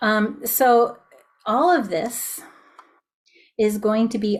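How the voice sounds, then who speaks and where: The voice belongs to a woman and sits fairly high. There is some breathiness to it. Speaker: music teacher running a webinar. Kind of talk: webinar sales pitch. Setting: Zoom video call. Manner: many filler ums.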